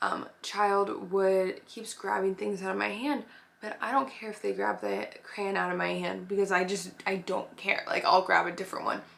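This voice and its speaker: Against noticeable background noise, a woman speaks at a moderate pace with hardly any pauses. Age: 20s. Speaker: nanny and preschool teacher. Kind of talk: casual advice talk. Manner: casual, filler-heavy.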